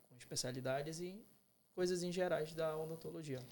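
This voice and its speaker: This man speaks at a moderate pace, his pitch varying in an ordinary way. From Belém, Pará, northern Brazil. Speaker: dentistry student. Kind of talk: casual podcast interview.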